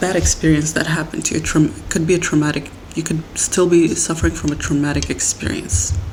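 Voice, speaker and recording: Against noticeable background noise, a woman with a very deep, low pitch talks at a fairly quick pace with ordinary pitch variation. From Middle East. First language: not English, a Middle Eastern language. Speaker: podcast host. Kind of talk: personal monologue podcast. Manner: halting, with self-corrections.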